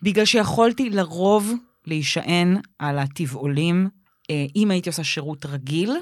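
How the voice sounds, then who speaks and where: A woman with a plain, everyday voice speaks fairly slowly at a fairly low pitch. Her intonation is lively, and the recording is very clean with a silent background. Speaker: podcast co-host, comedian. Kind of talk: casual chat.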